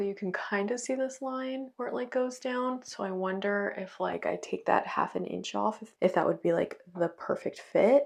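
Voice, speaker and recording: This woman has a normal speaking voice, pitched fairly high. She keeps a moderate pace with ordinary pitch variation. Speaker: sewing vlogger. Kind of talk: casual vlog.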